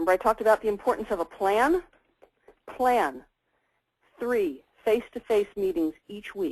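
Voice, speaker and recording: A woman speaks at a fairly high pitch with very wide pitch swings, big swings in loudness, and long, frequent pauses. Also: dry, close sound with no echo. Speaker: law practice marketing consultant. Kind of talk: webinar presentation. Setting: webinar. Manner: fast.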